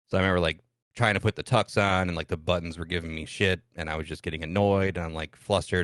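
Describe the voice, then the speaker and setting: A man with a Midwestern US accent at a very fast pace, very deep and low in pitch with fairly even intonation, in a dry, close sound with no echo against a quiet background. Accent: US Midwest. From US Midwest, Michigan-Ohio border farm town. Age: 30s. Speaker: streamer. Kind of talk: podcast interview, personal story.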